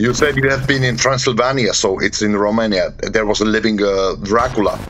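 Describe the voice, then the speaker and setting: In a Slovak accent, the speaker goes at a fairly quick pace with fairly even intonation and very even loudness. Music plays in the background, and there is audible room echo. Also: man, medium pitch for a man. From Slovakia. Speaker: podcast host and paranormal investigator. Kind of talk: interview. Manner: halting.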